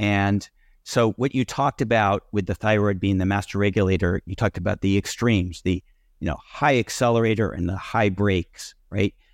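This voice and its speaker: This man has an unremarkable speaking voice, fairly low in pitch, with ordinary pitch variation at a moderate pace. The sound is dry and close with no echo, and the background is quiet. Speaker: podcast host. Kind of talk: interview.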